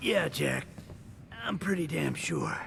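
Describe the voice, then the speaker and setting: A raspy put-on character voice from a man, with clear background noise. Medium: video game. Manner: tired, plain-spoken.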